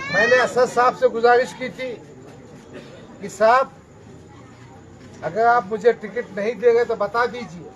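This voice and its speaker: The speech has long, frequent pauses, fairly even intonation and big swings in loudness. Noticeable background noise runs underneath. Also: man, extremely high pitch for a man. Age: 60s. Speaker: politician. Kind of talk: political speech.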